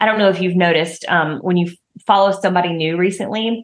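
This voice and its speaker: Speaking at a fairly quick pace in a Southern US accent, a woman keeps her medium pitch fairly even in intonation. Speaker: podcast host and marketing coach for health and wellness professionals. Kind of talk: podcast episode replaying an Instagram live, tips talk. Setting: recorded Instagram live from phone in home office, some audio issues. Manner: casual, conversational, chatty.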